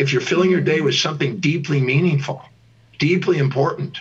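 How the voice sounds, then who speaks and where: The voice is somewhat breathy. Its pace is fairly quick. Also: man. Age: 60s. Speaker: teacher and life coach. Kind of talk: interview.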